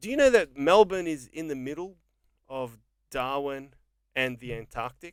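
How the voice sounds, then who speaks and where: A man with an Australian accent, ordinary pitch variation, big swings in loudness, and long, frequent pauses. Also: fairly high pitch for a man, moderate pace. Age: 40s. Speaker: podcast host. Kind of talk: casual chat.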